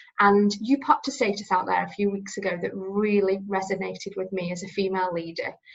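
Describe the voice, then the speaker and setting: A woman talks at a fairly quick pace and medium pitch. Her voice is somewhat breathy. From northern England, Staffordshire. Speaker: recruitment business leader, interviewer. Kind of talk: interview. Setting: video call.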